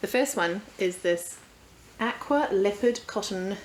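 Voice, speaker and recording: Through noticeable background noise, a woman with a New Zealand accent speaks with lively intonation. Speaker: sewing vlogger. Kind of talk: casual vlog.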